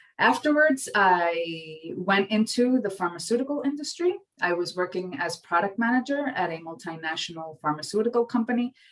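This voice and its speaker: Speaking at a moderate pace with hardly any pauses, a woman with a strong New York accent and a medium pitch swings her voice very widely. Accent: thick New York. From New York City. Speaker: marketing professor. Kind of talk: lecture.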